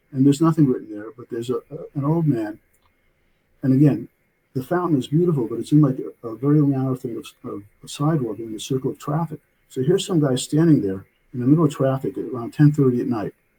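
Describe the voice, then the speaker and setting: A man with an American accent rushes at a very fast pace in a fairly high, somewhat breathy voice with a dark, mellow tone, ordinary pitch variation, and big swings in loudness. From New York City (Brooklyn). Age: 70s. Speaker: author and physician. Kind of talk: interview storytelling. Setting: remote call. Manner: halting, many fillers.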